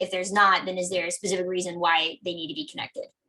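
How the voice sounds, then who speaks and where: The woman's voice has a medium pitch and a bright, sharp tone. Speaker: software integration expert. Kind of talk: webinar Q&A answer. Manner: fast; halting, many fillers.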